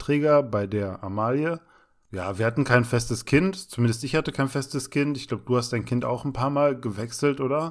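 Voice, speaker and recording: In a very clean recording with a silent background, a man speaks in a normal speaking voice. His pace is moderate and his pitch varies in an ordinary way. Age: 30s. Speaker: podcast co-host, trainee special-needs care worker. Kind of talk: casual chat.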